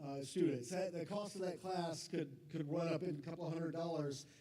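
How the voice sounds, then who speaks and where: A man speaks loudly at a high pitch with ordinary pitch variation. There is audible room echo. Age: 50s. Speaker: college academic advisor. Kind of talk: informational talk to parents.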